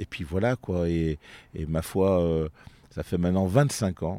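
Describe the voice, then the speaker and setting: Very slow and very deep, a man speaks in a dark, mellow tone. The sound is dry and close with no echo, on a very clean recording with a silent background. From France, Vienne (Isère, near Lyon). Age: 50s. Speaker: comedian. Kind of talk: casual interview. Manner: halting, frequent repetitions.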